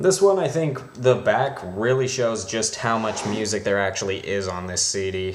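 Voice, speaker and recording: Over noticeable background noise, a man mumbles at a moderate pace and fairly low pitch with lively intonation. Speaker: CD collector. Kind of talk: casual talk to camera. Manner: mumbling.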